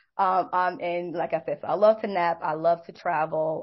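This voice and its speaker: A woman's plain, everyday voice with an American accent, medium pitch, and fairly even intonation. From Brooklyn, New York. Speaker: behavior analyst and clinical director. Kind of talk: casual interview.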